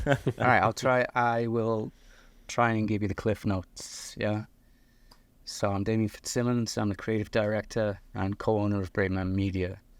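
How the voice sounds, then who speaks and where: With a Liverpool accent, a man speaks in a fairly low pitch and monotone, flat intonation on a very clean recording with a silent background. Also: moderate pace. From northern England, Liverpool. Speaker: video production company owner. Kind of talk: podcast interview. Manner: halting.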